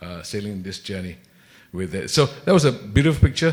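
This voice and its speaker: A man's fairly low voice at a fairly quick pace. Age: 60s. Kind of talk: panel discussion. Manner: hesitant, many fillers.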